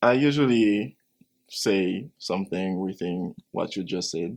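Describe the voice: A man speaks at a fairly slow pace in a low pitch. His intonation is lively.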